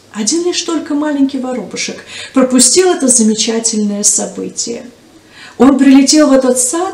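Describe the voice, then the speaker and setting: A woman speaks at a high pitch, with audible room echo around her. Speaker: storyteller for church children's program. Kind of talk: storytelling to children. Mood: warm, gentle narration. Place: studio.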